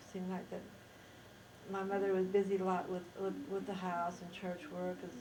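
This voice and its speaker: A woman with an American accent at a moderate pace, with audible room echo and noticeable background noise. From Idaho, US (Rexburg). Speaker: interviewee recounting life history. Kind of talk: oral history interview. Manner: halting, with self-corrections.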